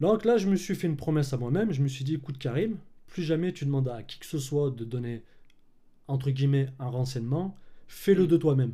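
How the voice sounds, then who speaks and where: Somewhat breathy and dark, mellow in tone, a man speaks at a fairly high pitch and fairly quick pace, with lively intonation and big swings in loudness. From France, Clermont-Ferrand. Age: 30s. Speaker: filmmaker and colorist. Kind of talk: casual interview chat.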